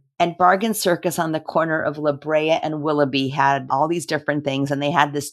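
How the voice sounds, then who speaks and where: A woman with a Californian accent speaks at a moderate pace in a very deep, low pitch with ordinary pitch variation. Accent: Californian American. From Los Angeles, US. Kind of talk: interview conversation.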